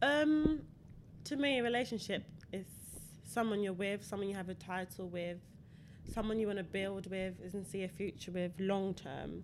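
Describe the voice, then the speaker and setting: Speaking at a moderate pace with long, frequent pauses, a woman uses a medium pitch and lively intonation. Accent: London. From London, England. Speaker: former track athlete. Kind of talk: casual chat.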